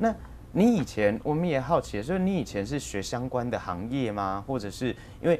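A man speaks at medium pitch and a moderate pace with lively intonation over light background noise. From Taiwan. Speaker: local TV talk show host; talk show host. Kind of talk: interview. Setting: studio. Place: studio. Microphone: lapel.

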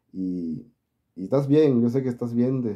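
Against a quiet background, a man with a Mexican accent speaks at a moderate pace, his medium-pitched voice dark and mellow in tone. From Mexico. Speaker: YouTuber, political commentary channel. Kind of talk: casual vlog monologue. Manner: halting. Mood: warm, advising, friendly. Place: home room. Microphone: phone near.

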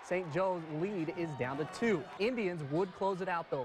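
Over noticeable background noise, a man with an American accent talks at a moderate pace in a high pitch, his tone upbeat and playful and his intonation lively. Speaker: sports reporter. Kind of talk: sports highlights commentary. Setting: studio. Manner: upbeat, playful.

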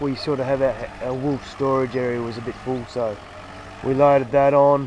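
Over light background noise, a man speaks at a moderate pace with fairly even intonation and a dry sound with no echo. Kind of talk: casual vlog chat. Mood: relaxed, friendly. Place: open country. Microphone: phone near.

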